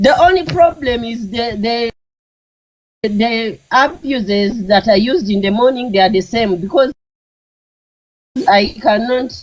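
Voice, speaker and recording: The speaker has a Ugandan accent and a fairly slow pace. Long pauses come often. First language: Luganda. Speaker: live stream host. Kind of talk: heated banter on live stream. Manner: halting.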